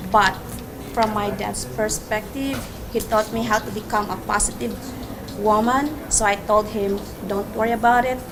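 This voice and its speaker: Fairly high-pitched woman's voice with a Filipino accent, fairly slow pace and fairly even intonation, amid noticeable background noise and audible room echo. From Philippines. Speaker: nurse. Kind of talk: personal essay reading.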